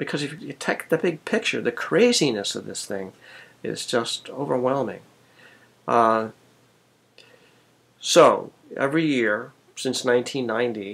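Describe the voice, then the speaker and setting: With long, frequent pauses and big swings in loudness, a man speaks at a fairly slow pace. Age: 60s. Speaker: medical oncologist. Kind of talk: educational video talk. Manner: hesitant, many fillers.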